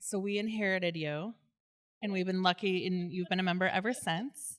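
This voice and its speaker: A woman with an unremarkable speaking voice talks fairly quickly at a medium pitch with fairly even intonation, in a very clean recording with a silent background. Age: 40s. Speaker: podcast host. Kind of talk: live podcast interview. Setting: live audience in a synagogue.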